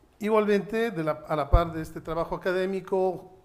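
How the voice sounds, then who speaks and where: A man's high voice at a moderate pace, with fairly even intonation. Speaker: judge and human rights lawyer. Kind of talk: panel talk at a seminar.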